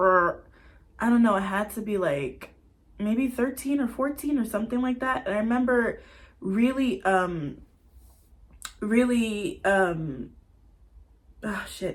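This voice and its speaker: Speaking very slowly with long, frequent pauses, a woman uses a fairly high, somewhat breathy voice and lively intonation. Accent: American. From US South, Atlanta, Georgia. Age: 20s. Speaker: vlogger. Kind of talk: casual personal vlog monologue.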